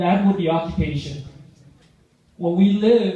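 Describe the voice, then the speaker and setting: Audible room echo surrounds a man speaking with a Vietnamese accent. His voice is high-pitched, with fairly even intonation at a moderate pace. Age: 50s. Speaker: public speaker. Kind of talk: speech.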